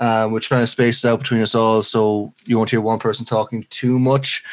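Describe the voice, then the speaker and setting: A man with a Leinster accent speaks at a fairly quick pace and medium pitch. The recording is very clean, with a silent background. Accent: Irish (Leinster). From Ireland, Leinster. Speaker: podcast co-host. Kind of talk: casual chat.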